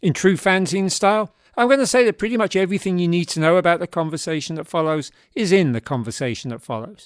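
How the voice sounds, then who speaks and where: A man speaks at a very fast pace in a Cockney accent, his pitch high and his intonation lively. The sound is dry and close, with no echo. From South London. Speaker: podcast host, former fanzine editor. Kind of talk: scripted narration; casual chat. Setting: video call.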